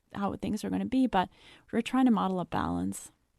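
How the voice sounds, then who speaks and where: A woman talks at a very fast pace. The recording is very clean with a silent background and a dry, close sound with no echo. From France (Paris). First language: raised trilingual English, French, German. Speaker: psychology researcher and author. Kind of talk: podcast interview.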